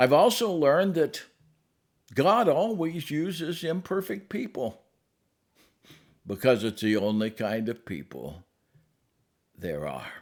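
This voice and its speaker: The recording is very clean, with a silent background. A man with vocal fry speaks at a fairly slow pace with very wide pitch swings. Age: 70s. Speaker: storyteller. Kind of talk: reflective talk to camera.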